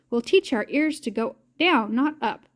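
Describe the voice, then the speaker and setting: A woman performs a put-on character voice at a high pitch. She keeps a moderate pace. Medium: read story. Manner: bright.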